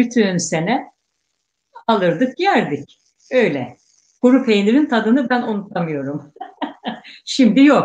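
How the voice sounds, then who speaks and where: A woman's fairly high, creaky voice with very wide pitch swings, a very slow pace, and long, frequent pauses. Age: 60s. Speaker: guest, elder Circassian cheesemaker's relative. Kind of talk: casual interview reminiscence.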